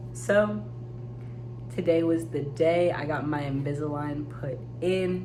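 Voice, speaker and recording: A woman's very deep, low voice at a fairly slow pace, with ordinary pitch variation, long, frequent pauses, audible room echo and noticeable background noise. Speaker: teacher and vlogger. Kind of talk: casual vlog. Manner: casual, filler-heavy.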